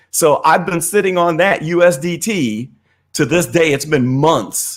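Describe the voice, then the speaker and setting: Speaking at a moderate pace with an American accent, a man uses a high pitch and lively intonation. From Missouri, US Midwest. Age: 50s. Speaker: crypto investor and technical analyst. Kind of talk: casual interview. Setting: live stream.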